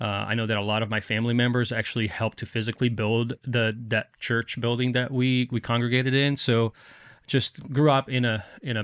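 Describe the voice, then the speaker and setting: A man at a medium pitch, fairly quick and monotone with flat intonation, in a dry, close sound with no echo. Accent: slight Brazilian. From Brazil, Rio de Janeiro. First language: Portuguese. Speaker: firefighter and author. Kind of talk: podcast interview.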